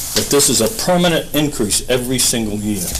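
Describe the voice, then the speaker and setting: A man speaks at a medium pitch with ordinary pitch variation. Audible room echo and noticeable background noise surround him. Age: 70s. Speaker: retired police officer speaking at public comment. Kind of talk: public comment at town meeting. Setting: town board meeting room.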